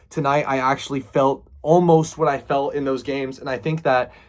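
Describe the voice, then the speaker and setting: The speaker moves at a fairly quick pace in an excited tone. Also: man. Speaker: sports fan vlogger. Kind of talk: casual vlog commentary. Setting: in a closet at home. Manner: hushed; excited, hyped.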